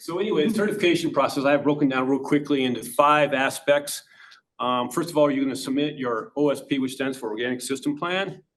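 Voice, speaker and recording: A man with a fairly high pitch talks at a fairly quick pace, his pitch varying in an ordinary way. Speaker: organic inspector. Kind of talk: presentation. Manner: fast.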